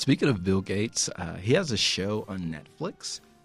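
Music plays in the background. A man speaks in a fairly low pitch. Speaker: podcast co-host. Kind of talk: scripted podcast banter. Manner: put-on radio voice.

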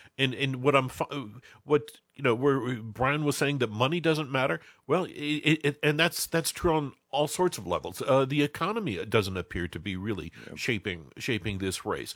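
With vocal fry and lively intonation, a man speaks at a medium pitch and a moderate pace. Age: 60s. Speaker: political journalist. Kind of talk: political panel discussion. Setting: studio. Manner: halting, many repetitions.

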